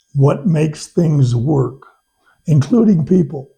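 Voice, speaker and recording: Somewhat breathy, this man's voice has a dark, mellow tone and ordinary pitch variation. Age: 80s+. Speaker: retired attorney, teacher and hunting guide. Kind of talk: interview.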